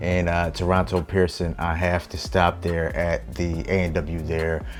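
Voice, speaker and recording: With music in the background, a man with an American accent talks at a fairly slow pace, his very deep, low pitch showing ordinary variation and a relaxed tone. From United States. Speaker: vlogger and filmmaker. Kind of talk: casual vlog monologue. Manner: relaxed, with frequent fillers.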